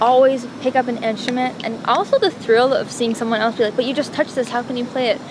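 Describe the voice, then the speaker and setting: Over noticeable background noise, a woman speaks at a fairly quick pace. Her voice is high-pitched, with fairly even intonation. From Montreal, Quebec, Canada. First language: Italian. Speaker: singer-songwriter. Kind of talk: interview. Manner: casual, hesitant with fillers.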